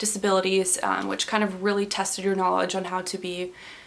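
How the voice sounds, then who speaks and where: There is noticeable background noise as a woman talks. Her medium-pitched voice moves at a very fast pace. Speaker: pre-physician assistant student, medical scribe. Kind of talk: casual talk to camera.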